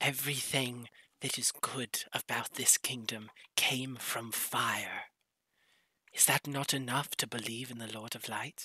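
A man puts on a raspy character voice at a medium pitch. He talks at a fairly slow pace. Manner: calm, persuasive, smugly prophetic, turning menacing.

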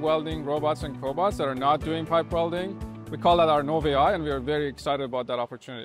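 A man talks at a very fast pace with clear music behind him, in a dry recording with no echo. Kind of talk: interview answer. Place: factory.

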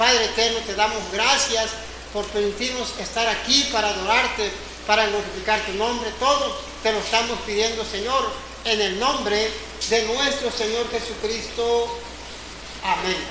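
In a raised, projected voice, a man speaks at a fairly slow pace with monotone, flat intonation. Audible room echo and noticeable background noise surround him. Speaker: preacher. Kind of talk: sermon. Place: church. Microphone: camera far.

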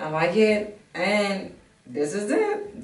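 In a room with audible echo, a woman with an African accent speaks in an animated tone. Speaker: fitness vlogger. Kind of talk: try-on haul review. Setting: outdoors in a park. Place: home room. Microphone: camera far.

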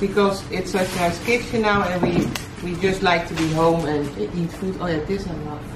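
A woman talks at a moderate pace. Noticeable background noise runs under her voice. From Netherlands. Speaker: vlogger, fashion designer. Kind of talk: casual unboxing chat. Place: home room. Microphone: camera far.

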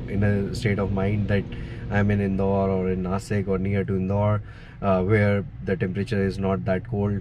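Music plays in the background as a man speaks at a moderate pace with a fairly low pitch. The sound is dry with no echo. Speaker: travel vlogger. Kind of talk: casual vlog chat. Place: car. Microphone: phone near.

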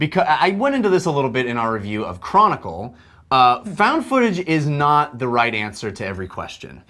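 A man speaks at a moderate pace with very wide pitch swings against a quiet background. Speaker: film review show host. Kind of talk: commentary. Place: studio. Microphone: lapel.

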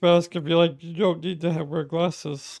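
The speech moves at a moderate pace. The sound is dry with no echo over a quiet background. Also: man. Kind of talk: casual vlog chat. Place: home room. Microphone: studio mic.

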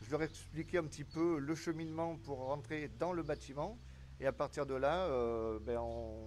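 A normal speaking voice at a fairly slow pace, with ordinary pitch variation and light background noise. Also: man. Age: 40s. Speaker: civil protection volunteer. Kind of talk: interview. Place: street. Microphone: handheld.

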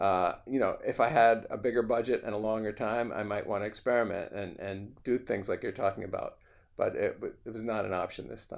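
Against a quiet background, a man is speaking. He keeps a fairly quick pace. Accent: American. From New York. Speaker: film composer; interviewee. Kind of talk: casual interview. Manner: halting. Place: home room. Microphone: video call.

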